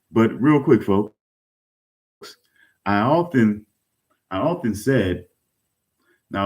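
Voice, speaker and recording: The speaker is a man. His tone is dark and mellow. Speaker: online talk show host. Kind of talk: casual chat.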